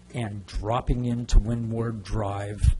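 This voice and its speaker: Very slowly, a man speaks in a fairly low pitch with a dark, mellow tone and fairly even intonation. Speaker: resident speaking at public comment. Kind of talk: public comment. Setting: council chambers. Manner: loud.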